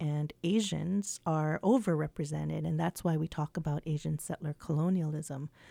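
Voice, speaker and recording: At a moderate pace, a woman with a very deep, low pitch and a dark, mellow tone speaks in fairly even intonation, the sound dry and close with no echo. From Hawaii. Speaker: English professor. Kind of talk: radio interview. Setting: radio studio.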